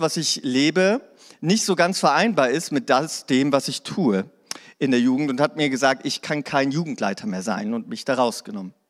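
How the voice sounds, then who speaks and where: With a fairly high pitch and lively intonation, a man speaks in a normal speaking voice at a moderate pace, recorded very cleanly against a silent background. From Hannover, northern Germany. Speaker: pastor. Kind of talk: sermon. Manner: casual.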